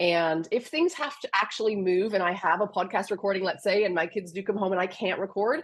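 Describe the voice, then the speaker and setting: A woman with a plain, everyday voice and medium pitch talks at a fairly quick pace. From Canada. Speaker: business mentor. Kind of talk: podcast interview.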